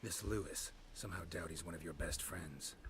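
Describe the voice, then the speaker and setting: Over clear background noise, a man puts on a character voice and talks fairly quickly. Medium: video game. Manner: laconic, dry.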